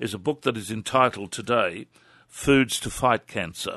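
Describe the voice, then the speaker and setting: A man talks with an Australian accent, his tone bright and sharp. The sound is dry and close with no echo, over a quiet background. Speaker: herbal medicine practitioner. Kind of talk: radio interview on health.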